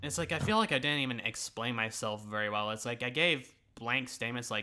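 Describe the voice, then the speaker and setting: A man with a bright, sharp tone speaks at a fairly quick pace, his medium pitch showing ordinary variation. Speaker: YouTuber reacting to own old videos. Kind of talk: casual reaction commentary. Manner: casual with pauses and stutters.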